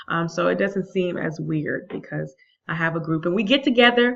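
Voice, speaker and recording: At a moderate pace, a woman speaks in a normal speaking voice with an American accent. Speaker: vlogger, math teacher abroad. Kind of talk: casual vlog.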